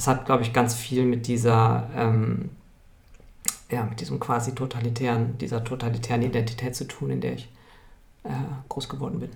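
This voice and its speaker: A man speaks at a medium pitch with fairly even intonation. Audible room echo fills the recording. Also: moderate pace. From Munich, Bavaria. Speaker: strategist and organisational consultant. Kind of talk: interview. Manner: halting, many filler sounds.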